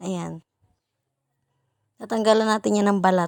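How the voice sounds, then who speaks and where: In a dry, close sound with no echo, a woman speaks at medium pitch and a moderate pace on a very clean recording with a silent background. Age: 20s. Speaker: vlogger, mother. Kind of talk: casual vlog narration. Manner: playful, self-mocking.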